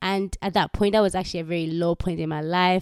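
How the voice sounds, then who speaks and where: A woman with a Ugandan accent speaks in an animated tone at a fairly low pitch. The sound is dry and close, with no echo. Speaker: faith podcaster. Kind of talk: personal testimony with prayer. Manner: casual, filler-heavy.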